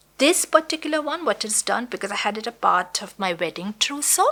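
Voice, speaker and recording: Noticeable background noise sits behind a voice moving at a moderate pace with very wide pitch swings. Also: woman. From India, Gujarat. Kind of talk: interview answer. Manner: conversational, warm.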